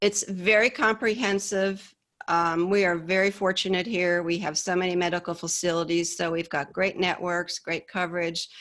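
Someone with an American accent and a plain, everyday voice speaks at a moderate pace. Intonation stays fairly even on a very clean recording with a silent background. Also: woman. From upstate New York. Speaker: Medicare insurance specialist. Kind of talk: interview.

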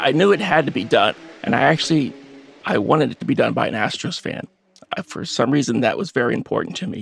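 Talking at a very fast pace with very wide pitch swings, a man with an American accent speaks at a fairly high pitch. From Texas, Baytown near Houston. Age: 50s. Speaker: web developer and amateur investigator. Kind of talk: interview.

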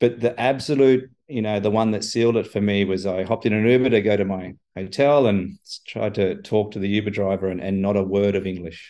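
A man's fairly low voice with a fairly even intonation and an Australian accent. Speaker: chief information officer. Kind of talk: interview conversation.

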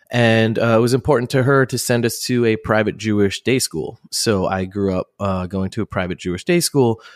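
A normal speaking voice from a man, medium in pitch, at a moderate pace with hardly any pauses and ordinary pitch variation, dry and close with no echo, on a very clean recording with a silent background. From New Jersey. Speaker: rock band singer. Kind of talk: casual interview chat.

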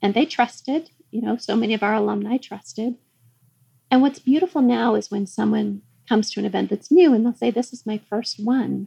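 A woman's fairly high, somewhat breathy voice with a dark, mellow tone, moving at a fairly quick pace. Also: ordinary pitch variation. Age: 50s. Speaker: magazine founder and publisher. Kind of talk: casual interview chat.

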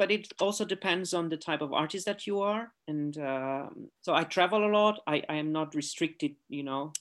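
Heard in a very clean recording with a silent background, a man speaks with a Romanian accent at a moderate pace. His voice is high in pitch, with ordinary pitch variation. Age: 40s. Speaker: artist. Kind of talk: interview. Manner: halting.

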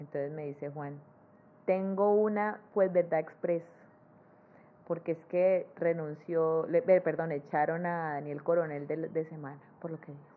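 A woman's fairly low-pitched voice with fairly even intonation, at a fairly slow pace. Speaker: cartoonist. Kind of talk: interview conversation. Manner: cheerful.

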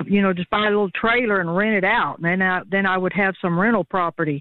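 This is a woman speaking. She keeps her intonation fairly even. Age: 60s. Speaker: caller. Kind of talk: phone-in question. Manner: halting.

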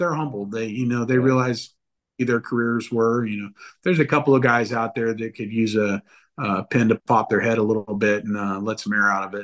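A man with a Californian accent at a fairly quick pace. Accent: Californian American. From Northern California. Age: 40s. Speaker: motocross media editor. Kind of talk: casual chat.

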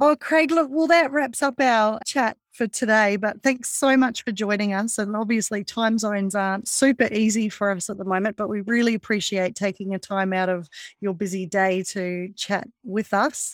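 With a New Zealand accent and a fairly high pitch, a woman speaks at a moderate pace with hardly any pauses, in a dry, close recording with no echo that is very clean with a silent background. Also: ordinary pitch variation. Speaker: podcast host. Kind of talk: casual interview.

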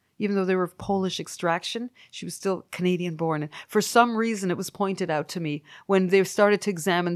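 A woman talks at a fairly quick pace in an unremarkable speaking voice of medium pitch. Her intonation is fairly even, and the sound is dry and close with no echo. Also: hardly any pauses, very clean recording, silent background. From Canada. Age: 50s. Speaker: musician. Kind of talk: casual chat.

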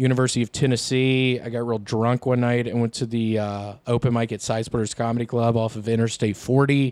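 A man with an American accent at a fairly quick pace, hardly any pauses, on a very clean recording with a silent background. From US South. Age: 30s. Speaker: comedian. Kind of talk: casual chat.

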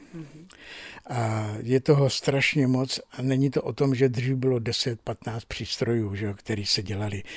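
In a somewhat breathy voice, a man speaks at a fairly slow pace with fairly even intonation. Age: 60s. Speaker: electronics repairman. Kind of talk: interview. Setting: repair workshop.

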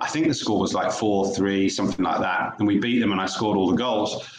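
Here is a man with an East Anglian accent. Audible room echo can be heard around his voice. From Norfolk, England. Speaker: former professional footballer. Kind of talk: interview.

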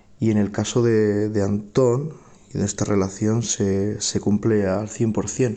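A man speaks very slowly in a fairly low, dark, mellow voice. His intonation is monotone and flat, and his loudness is very even. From Spain. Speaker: flamenco singer. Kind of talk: recorded testimonial message.

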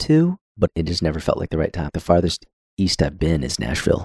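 With vocal fry and lively intonation, a man speaks at a very deep, low pitch. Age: 30s. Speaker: podcast host. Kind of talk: casual chat.

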